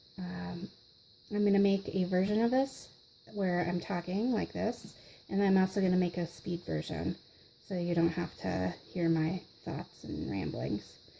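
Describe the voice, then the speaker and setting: A soft-spoken, somewhat breathy woman at a fairly slow pace, with a fairly low pitch and a dark, mellow tone. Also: ordinary pitch variation. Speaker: craft tutorial host. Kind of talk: tutorial.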